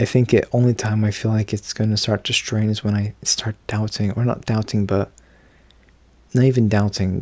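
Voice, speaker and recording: At a moderate pace, a man talks in a fairly low voice with monotone, flat intonation. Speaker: vlogger. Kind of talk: casual monologue to camera. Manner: halting, many fillers and restarts; not at full voice, subdued.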